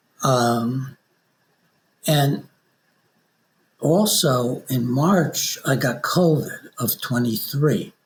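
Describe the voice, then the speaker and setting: A man's fairly high, somewhat breathy voice with ordinary pitch variation, at a very slow pace with long, frequent pauses. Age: 80s+. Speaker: author. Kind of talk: interview. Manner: halting.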